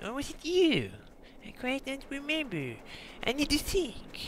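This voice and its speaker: In a whiny, put-on character voice, a man talks at a fairly slow pace. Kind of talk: comic overacting. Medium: machinima. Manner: goofy, rambling, easily distracted; whiny, exasperated pleading.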